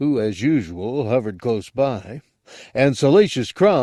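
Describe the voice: The background stays quiet during plain reading aloud.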